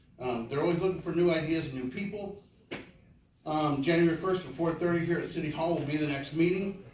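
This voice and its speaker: Fairly quick delivery in an American accent, with ordinary pitch variation and audible room echo. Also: man. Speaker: community volunteer. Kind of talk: public meeting address. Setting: city council meeting. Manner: fast; halting.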